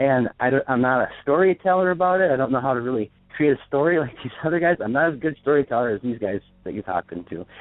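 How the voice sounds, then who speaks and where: A man at medium pitch, very fast pace and lively intonation. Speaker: caller. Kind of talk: phone call-in testimony. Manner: halting.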